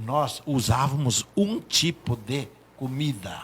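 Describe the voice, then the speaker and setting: A man speaks with lively intonation. His pitch is medium. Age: 70s. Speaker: doctor. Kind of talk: talk show discussion.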